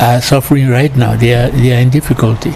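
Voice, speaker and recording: A man at a medium pitch with monotone, flat intonation and a fairly quick pace, against noticeable background noise. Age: 80s+. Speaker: retired broadcaster. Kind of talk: interview. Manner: halting.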